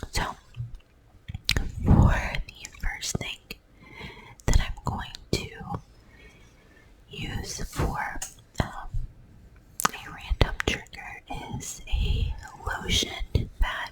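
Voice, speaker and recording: A woman whispering at a very slow pace with long, frequent pauses, against noticeable background noise. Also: big swings in loudness. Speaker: ASMR creator. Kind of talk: ASMR whisper talk to camera. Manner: whispered.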